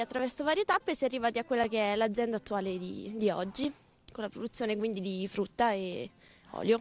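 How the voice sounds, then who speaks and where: The sound is dry and close, with no echo. A woman talks at a high pitch with lively intonation. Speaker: family farm representative. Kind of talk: TV interview.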